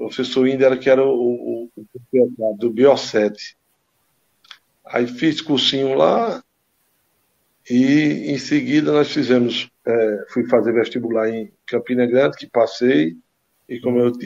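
Speech comes at a fairly slow pace with ordinary pitch variation and long, frequent pauses. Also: man. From Brazil, Caruaru, Pernambuco. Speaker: former amateur footballer. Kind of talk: casual interview.

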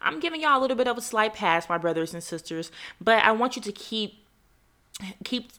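This woman has a bright, sharp tone and an American accent. She talks at a fairly quick pace with ordinary pitch variation. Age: 20s. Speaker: faith podcast host. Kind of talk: solo podcast monologue.

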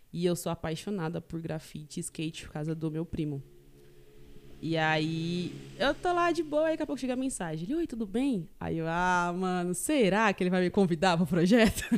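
A woman speaks in an ordinary speaking voice, her fairly low pitch carried by lively intonation. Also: moderate pace. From Greater São Paulo, Taboão da Serra. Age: 20s. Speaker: university student. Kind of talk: casual chat.

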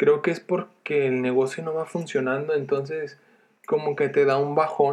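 A man at a fairly slow pace. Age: 20s. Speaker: first-time podcaster, entrepreneur. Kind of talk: casual monologue. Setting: sister's bedroom. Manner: hesitant, repeats words. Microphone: headset mic on sister's computer, poor sound.

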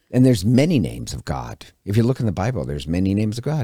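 A man with an American accent speaks at a fairly low pitch with vocal fry and very wide pitch swings. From Montana. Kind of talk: religious teaching talk.

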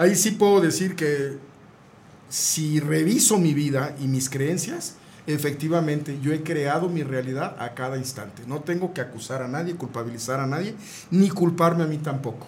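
A man with a fairly high pitch talks at a moderate pace with ordinary pitch variation, and the room echo is audible. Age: 60s. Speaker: neurolinguistic programming therapist. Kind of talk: radio interview.

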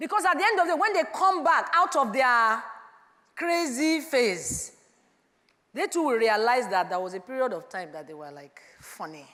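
A woman's high-pitched, raised, projected voice with an animated tone, very wide pitch swings and big swings in loudness at a moderate pace, with audible room echo. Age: 50s. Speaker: preacher. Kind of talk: sermon.

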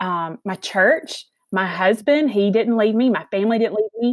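Speaking in a Southern US accent, a woman of medium pitch keeps a moderate pace with lively intonation in a dry, close sound with no echo. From Alabama, US South. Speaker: mental health advocate and author. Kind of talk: casual interview chat.

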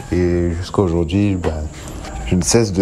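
A man speaks at a moderate pace through audible room echo and noticeable background noise. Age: 20s. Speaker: singer. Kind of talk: recorded self-introduction.

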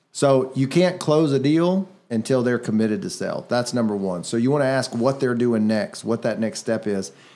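Over a very clean recording with a silent background, a man with an unremarkable speaking voice talks at a moderate pace and medium pitch, with lively intonation and hardly any pauses. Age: 30s. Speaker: real estate investor and podcast host. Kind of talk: casual chat. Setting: studio.

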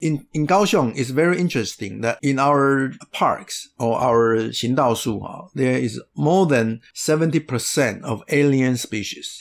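A man with a Taiwanese accent speaks at a fairly slow pace. His pitch is medium, with ordinary variation. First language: Mandarin. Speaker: conservation organization leader. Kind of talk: interview.

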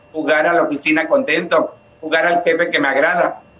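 The pitch of this man's voice is high. It rises and falls with ordinary variation. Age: 50s. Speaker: psychotherapist and spiritual healer. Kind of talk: interview.

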